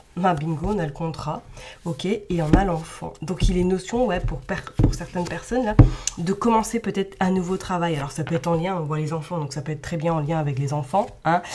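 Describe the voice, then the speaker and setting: Over noticeable background noise, a woman talks at a fairly quick pace with a fairly low pitch and ordinary pitch variation. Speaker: tarot card reader. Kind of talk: tarot reading.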